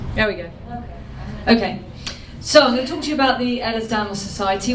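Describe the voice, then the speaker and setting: A woman is speaking. Noticeable background noise and audible room echo fill the recording. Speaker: charity leader. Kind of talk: conference talk. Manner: fast.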